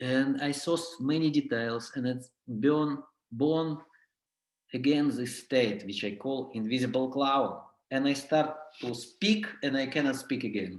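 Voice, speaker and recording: Speaking slowly-ish with a non-native accent, a man with a fairly high voice is heard amid audible room echo. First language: not English. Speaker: clown and clown teacher. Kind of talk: workshop lecture. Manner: halting.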